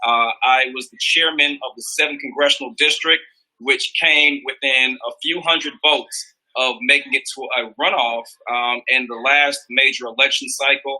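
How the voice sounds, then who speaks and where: A man with an American accent and a plain, everyday voice, at a moderate pace, with big swings in loudness and ordinary pitch variation. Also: fairly high pitch for a man. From US South, Columbus, Georgia. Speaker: political candidate. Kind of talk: campaign speech in livestream interview.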